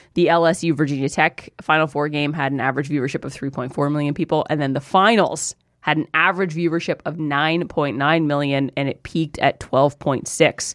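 In a very clean recording with a silent background, a woman with a very deep, low pitch talks fairly quickly with hardly any pauses and fairly even intonation. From small-town Ontario, Canada. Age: 30s. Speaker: sports commentator guest. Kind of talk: casual chat. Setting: studio.

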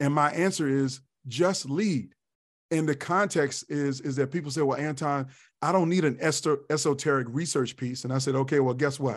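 A man with an American accent uses a normal speaking voice at a moderate pace, fairly high in pitch with fairly even intonation over a quiet background. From Virginia, Tidewater/Hampton Roads. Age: 50s. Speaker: leadership speaker and consultant. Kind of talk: interview conversation. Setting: live video stream.

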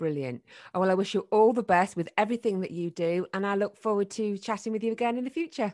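In a northern English accent, a woman with a medium pitch talks at a very fast pace with lively intonation, the sound dry and close with no echo against a quiet background. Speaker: podcast host and former radio presenter. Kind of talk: casual interview chat.

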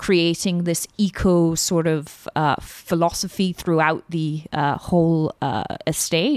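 A woman with a British accent speaks at a fairly low pitch and with fairly even intonation, and the sound is dry and close with no echo. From Britain. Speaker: luxury real estate agent. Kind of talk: podcast interview.

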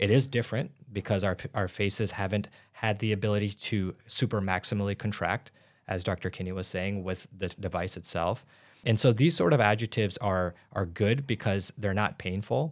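In a Midwestern American accent, a man speaks at a moderate pace in a fairly low voice with ordinary pitch variation, on a very clean recording with a silent background. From Illinois, US Midwest. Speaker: doctor and aesthetics businessman. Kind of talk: interview.

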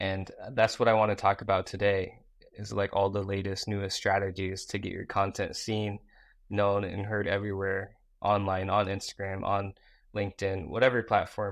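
A man with fairly low pitch and monotone, flat intonation at a moderate pace, over a quiet background. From US Midwest (Iowa), born in South Korea. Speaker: social media marketing entrepreneur. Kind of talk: interview. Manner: casual, filler-heavy.

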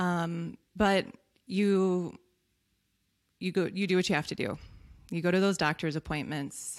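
A woman with a fairly low pitch talks at a fairly slow pace with fairly even intonation and long, frequent pauses. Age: 40s. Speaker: occupational therapist and health business founder. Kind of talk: interview.

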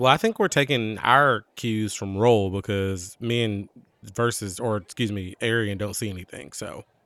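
A man with a plain, everyday voice talks at a moderate pace, fairly low in pitch with ordinary variation, in a very clean recording with a silent background. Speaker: podcast co-host and roleplaying game player. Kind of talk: casual roleplaying game chat.

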